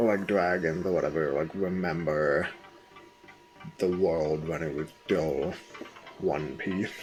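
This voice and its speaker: A man's very deep, low voice with an American accent, amid noticeable background noise and audible room echo. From US Midwest. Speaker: streamer. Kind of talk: casual live stream chat. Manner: hesitant, many fillers.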